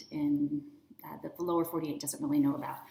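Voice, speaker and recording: The speaker is a woman. An American accent colors her speech. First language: American Sign Language. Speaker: teacher and curriculum author. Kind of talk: product presentation. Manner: casual.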